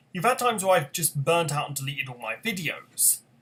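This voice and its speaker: This man has a high voice with lively intonation. His tone is bright and sharp. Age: 20s. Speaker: gaming YouTuber. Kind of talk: casual vlog monologue. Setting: talking to camera at home. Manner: halting, stuttering; unscripted, rambling hesitations.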